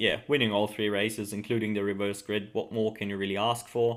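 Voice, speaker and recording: A man with a German accent talks at a fairly quick pace. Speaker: motorsport video commentator. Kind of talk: casual commentary. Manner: hesitant, many fillers.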